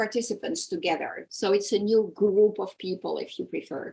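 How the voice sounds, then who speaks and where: Her voice at a medium pitch with vocal fry, a woman talks at a moderate pace with lively intonation. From France, Dutch parents. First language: French or Dutch. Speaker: coach. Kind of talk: interview. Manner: halting at times, searching for words.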